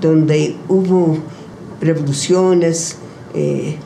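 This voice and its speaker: With noticeable background noise around her, a woman speaks at a fairly low pitch. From United States, New York. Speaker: poet, writer and activist. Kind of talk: interview answer.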